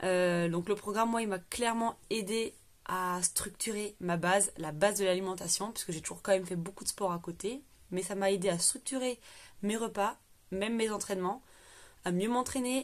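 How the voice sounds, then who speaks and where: A moderate pace with ordinary pitch variation. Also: woman, medium pitch for a woman. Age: 20s. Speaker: client giving a testimonial, herself a coach. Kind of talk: testimony. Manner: hesitant, many fillers.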